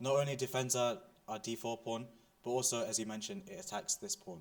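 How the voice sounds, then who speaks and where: His pitch swings very widely. The man talks at a fairly quick pace. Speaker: chess teacher. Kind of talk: lecture. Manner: fast.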